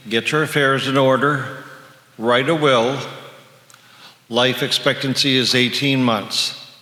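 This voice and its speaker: A man speaks at medium pitch with monotone, flat intonation, very even loudness and a very slow pace full of long, frequent pauses. Noticeable background noise and audible room echo surround the voice. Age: 60s. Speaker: retired psychologist sharing HIV survivor story. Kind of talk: personal testimony to an audience.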